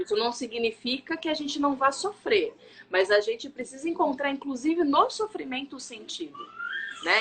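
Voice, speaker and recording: Music plays in the background as a woman speaks at a moderate pace. Her high pitch moves in very wide swings. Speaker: live stream host, faith and wellbeing speaker. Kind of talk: casual live stream talk, personal testimony. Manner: lowered voice so the baby won't cry.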